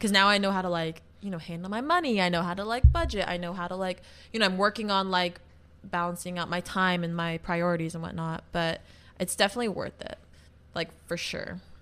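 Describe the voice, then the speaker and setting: A woman with a plain, everyday voice speaks at a fairly quick pace and medium pitch with fairly even intonation, on a very clean recording with a silent background. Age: 20s. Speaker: professional dancer. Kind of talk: casual chat.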